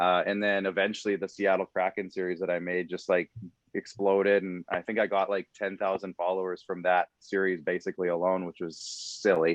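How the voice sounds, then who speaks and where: With a Canadian accent, a man speaks in a very deep, low pitch and a monotone, flat intonation. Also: fairly quick pace. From Saskatchewan, Canada. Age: 30s. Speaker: podcast producer and social media creator. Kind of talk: casual interview chat.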